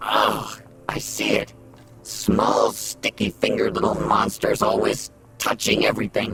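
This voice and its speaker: A man's raspy put-on character voice at a moderate pace, with clear music in the background. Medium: machinima. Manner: sarcastic, dry.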